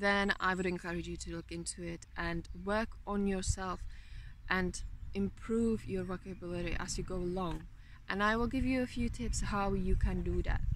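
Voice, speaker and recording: A woman with a Czech accent at a moderate pace. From Czech Republic. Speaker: motivational vlogger. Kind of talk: motivational talk.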